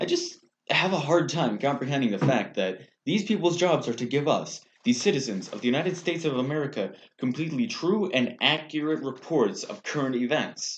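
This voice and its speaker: An ordinary speaking voice from a man, fairly high-pitched with lively intonation and a fairly quick pace. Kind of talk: satirical newscast co-host, comedic banter.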